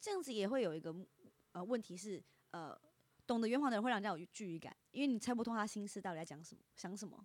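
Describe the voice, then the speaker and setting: A woman talks at a very fast pace with a slight Taiwanese accent. Her medium pitch carries lively intonation. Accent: slight Taiwanese Mandarin. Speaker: internet influencer. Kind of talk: casual chat.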